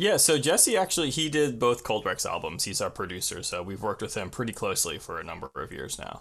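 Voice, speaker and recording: The background is silent and the recording very clean. A man talks very fast. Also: hardly any pauses. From Long Island, New York. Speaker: punk musician. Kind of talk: casual chat.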